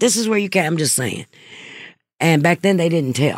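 Animated in tone, a woman with an American accent speaks at a moderate pace in a fairly low pitch with very wide pitch swings, the sound dry and close with no echo. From US South (Mississippi). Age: 60s. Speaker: anti-trafficking program director. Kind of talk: casual chat.

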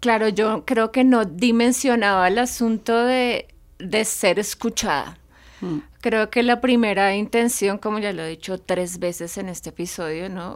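On a very clean recording with a silent background, a woman with a normal speaking voice talks at a fairly slow pace, fairly high in pitch with ordinary pitch variation. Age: 40s. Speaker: podcast co-host. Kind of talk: casual chat. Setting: recording studio.

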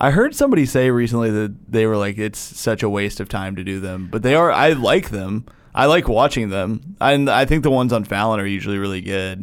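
A man with a plain, everyday voice speaks at a fairly low pitch. He goes at a fairly quick pace with hardly any pauses and ordinary pitch variation. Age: 30s. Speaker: comedian. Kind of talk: casual chat.

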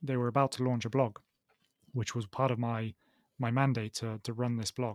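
Delivered at a moderate pace, the speech is monotone and flat, with a dry, close sound and no echo. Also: man, medium pitch for a man. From southern England, Oxford. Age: 30s. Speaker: startup co-founder. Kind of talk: interview conversation.

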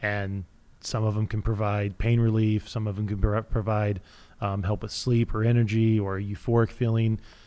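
On a very clean recording with a silent background, a man speaks at a moderate pace in a fairly low, monotone, flat intonation. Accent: slight Midwestern. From Kansas. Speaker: CBD store chain owner. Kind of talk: casual interview. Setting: studio.

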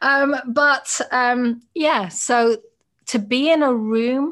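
A woman speaks with a British accent, a warm tone and ordinary pitch variation. The recording is very clean, with a silent background. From Britain. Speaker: podcast host. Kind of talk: interview conversation. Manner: warm, engaged.

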